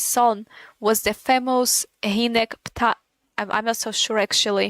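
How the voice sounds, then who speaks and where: A woman's fairly high voice with a non-native accent at a moderate pace, the sound dry and close with no echo. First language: not English. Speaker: gaming streamer. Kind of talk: casual live-stream commentary. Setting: live stream. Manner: halting, repetitive.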